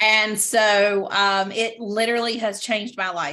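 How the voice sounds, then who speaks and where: A woman speaks at a fairly slow pace with a bright, sharp tone, medium pitch, and fairly even intonation, in a very clean recording with a silent background. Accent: Southern. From US South, Greenville, North Carolina. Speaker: direct sales stylist. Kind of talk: casual video chat interview. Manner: halting with many fillers.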